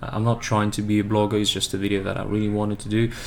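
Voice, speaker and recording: A man with a slight non-native accent and fairly low pitch, amid noticeable background noise. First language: not English. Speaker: boxing fan YouTuber. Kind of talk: casual analysis monologue. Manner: halting, many filler words; slow-paced.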